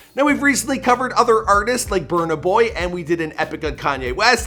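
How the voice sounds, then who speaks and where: Against noticeable background noise, a man with a high pitch speaks at a very fast pace in a raised, projected voice with lively intonation. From Canada. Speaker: YouTube biography narrator. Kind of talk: narrated biography video. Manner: casual, conversational.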